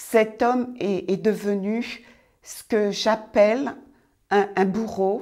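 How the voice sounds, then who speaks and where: On a very clean recording with a silent background, a woman speaks at a fairly high pitch with a dark, mellow tone and ordinary pitch variation. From France (raised there from age six, Antillean roots). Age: 60s. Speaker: church member giving testimony. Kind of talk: testimony. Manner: halting.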